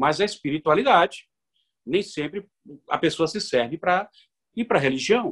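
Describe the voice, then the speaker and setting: A man with very wide pitch swings in a dry, close sound with no echo. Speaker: lawyer and university professor. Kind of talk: radio interview.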